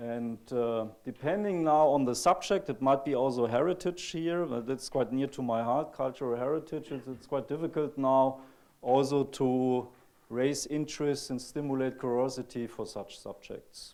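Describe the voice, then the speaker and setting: A man with a German accent speaks in a dark, mellow tone at a medium pitch with ordinary pitch variation, on a very clean recording with a silent background. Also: moderate pace. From Germany. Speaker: computer graphics researcher. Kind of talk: conference talk. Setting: stage with audience. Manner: halting.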